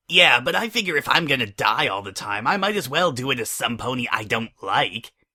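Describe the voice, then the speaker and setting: A man's put-on character voice at a medium pitch, fairly quick and with hardly any pauses. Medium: read story.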